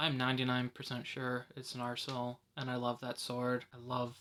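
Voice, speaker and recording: Here a man's bright, sharp tone carries a monotone, flat intonation. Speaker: YouTube TV show reviewer. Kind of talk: casual video review. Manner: soft-spoken.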